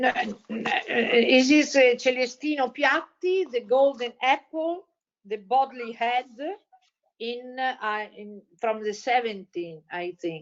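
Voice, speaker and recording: Speaking very slowly with an Italian accent, a woman uses a high pitch, lively intonation and big swings in loudness. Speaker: panelist on children's books. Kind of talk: casual chat. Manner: halting.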